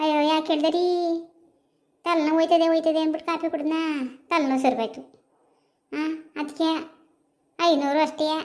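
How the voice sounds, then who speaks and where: Putting on a cartoonish character voice, a woman speaks at an extremely high pitch and a moderate pace with fairly even intonation. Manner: chatty, colloquial.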